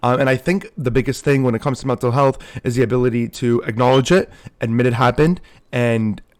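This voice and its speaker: A man talks very fast at a medium pitch on a very clean recording with a silent background. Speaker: streamer and commentary youtuber. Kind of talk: casual commentary monologue. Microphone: muffled audio.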